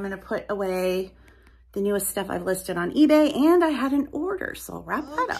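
A woman's medium-pitched voice, slightly husky at the edge, with lively intonation

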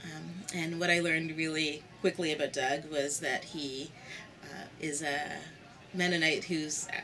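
A woman speaks with a very deep, low pitch and fairly even intonation over light background noise. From Canada. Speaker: church community worker; interviewee. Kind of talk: interview. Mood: warm, amused. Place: home room.

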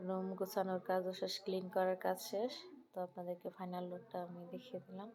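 Noticeable noise sits in the background. A woman speaks at a medium pitch with fairly even intonation. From Bangladesh, Brahmanbaria. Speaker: homemaker vlogger. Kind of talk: casual vlog narration.

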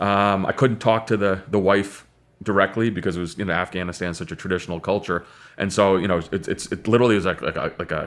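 Very deep and low in pitch, a man speaks at a very fast pace with fairly even intonation. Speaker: podcast guest. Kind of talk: interview answer. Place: studio.

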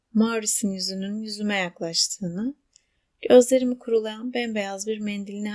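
Against a quiet background, the recording offers plain reading aloud.

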